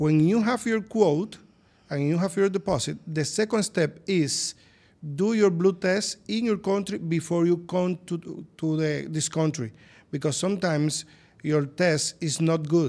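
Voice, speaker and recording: A man with a Spanish accent, high in pitch, at a fairly slow pace with ordinary pitch variation. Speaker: plastic surgeon. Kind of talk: interview. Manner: halting.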